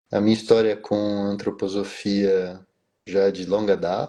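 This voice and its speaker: Against a quiet background, a man with fairly low pitch and a dark, mellow tone speaks at a very slow pace. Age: 50s. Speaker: business executive and biographical counselor. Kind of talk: live stream interview.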